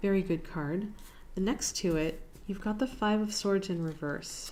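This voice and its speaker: A woman speaks in a dark, mellow tone. Her pitch variation is ordinary. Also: moderate pace. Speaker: tarot reader. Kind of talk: tarot reading to camera. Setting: on camera, home video. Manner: relaxed, thoughtful with fillers.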